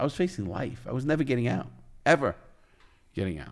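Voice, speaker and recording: With a New York accent, a man speaks in lively intonation on a very clean recording with a silent background. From New York, the Bronx. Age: 60s. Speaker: former criminal and author. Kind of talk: interview storytelling. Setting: studio.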